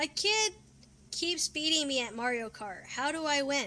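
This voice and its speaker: A put-on character voice is used here. It sits high in pitch and moves at a moderate speed. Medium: comedy sketch.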